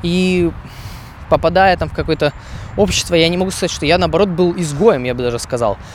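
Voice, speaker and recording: High-pitched male speech at a fairly quick pace, broken by long, frequent pauses, with ordinary pitch variation and noticeable background noise. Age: 20s. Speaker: podcaster, software engineer. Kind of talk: solo monologue podcast. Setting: outdoors, walking. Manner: hesitant, with fillers.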